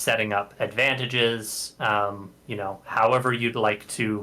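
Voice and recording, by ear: Just reading aloud in a natural voice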